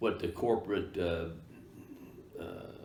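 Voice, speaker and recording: A man with an American accent speaks at a fairly slow pace in a somewhat breathy voice, with audible room echo. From Kansas. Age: 70s. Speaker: real estate broker. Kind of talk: interview. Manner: halting, many fillers.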